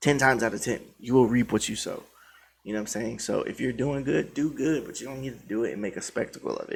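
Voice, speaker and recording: This is a man with a normal speaking voice, medium in pitch with ordinary pitch variation. He talks at a fairly quick pace on a very clean recording with a silent background. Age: 30s. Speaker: krump dancer and videographer. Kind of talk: monologue addressing viewers. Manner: casual, repetitive filler phrases.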